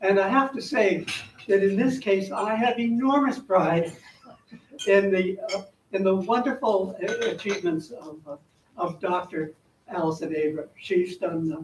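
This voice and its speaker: Over noticeable background noise, a man with a high voice speaks at a fairly slow pace, with long, frequent pauses and ordinary pitch variation. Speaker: former teacher introducing the speaker. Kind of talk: speaker introduction. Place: hall.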